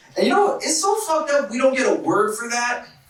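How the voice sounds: In an American accent, a man talks at a fairly quick pace with an extremely high pitch and big pitch swings, amid strong room echo.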